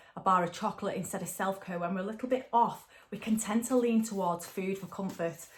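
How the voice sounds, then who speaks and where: Speaking at a fairly quick pace, a woman with a north-west English accent uses a medium pitch and fairly even intonation. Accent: woolly back (north-west English). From northern England. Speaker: tarot and angel card reader. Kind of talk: spiritual card reading guidance. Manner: casual, chatty with fillers.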